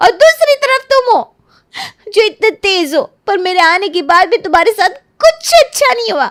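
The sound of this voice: In a cartoonish character voice, a woman talks at a moderate pace with an extremely high pitch, a fairly bright tone and big pitch swings.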